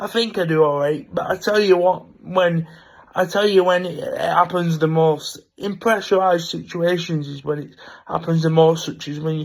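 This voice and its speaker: A man's high-pitched voice at a moderate pace, fairly even in intonation but with big swings in loudness, on a very clean recording with a silent background. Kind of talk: casual vlog monologue. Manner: speaks freely and naturally.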